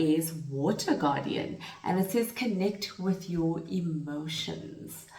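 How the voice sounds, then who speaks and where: A woman speaks at a very slow pace, her fairly low pitch showing ordinary variation. Noticeable background noise and audible room echo fill the recording. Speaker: tarot reader. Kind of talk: spiritual tarot reading. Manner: halting, with fillers.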